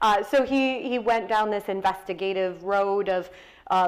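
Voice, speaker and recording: With an American accent, a woman speaks at a medium pitch. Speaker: nurse educator and author. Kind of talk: author talk. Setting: stage with audience.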